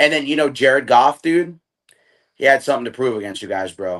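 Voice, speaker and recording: A man with a medium-pitched voice goes at a fairly quick pace. His pitch varies in an ordinary way over a quiet background. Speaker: sports podcast host. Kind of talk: casual chat. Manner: fast; animated.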